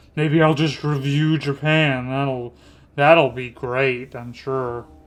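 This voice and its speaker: A man speaks at a very slow pace in a fairly high, monotone, flat voice with big swings in loudness, in a very clean recording with a silent background. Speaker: animation critic YouTuber. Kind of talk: casual commentary while animating. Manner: casual, self-deprecating asides.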